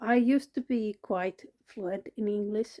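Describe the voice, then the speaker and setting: A woman's dark, mellow voice with a Finnish accent, very slow pace, and a dry, close sound with no echo. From Finland. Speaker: vlogger, cancer patient. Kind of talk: personal vlog monologue. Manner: halting, many fillers.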